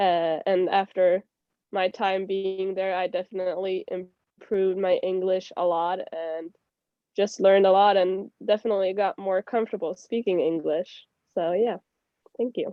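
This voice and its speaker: A woman speaks with a Swedish accent in a monotone, flat intonation. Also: medium pitch for a woman, moderate pace. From Sweden. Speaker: former au pair. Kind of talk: casual chat.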